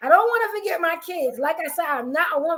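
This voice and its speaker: A woman projects her voice with a bright, sharp tone, extremely high pitch and an animated tone. She moves at a fairly quick pace through very wide pitch swings. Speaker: podcast host. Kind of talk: casual chat. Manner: fast.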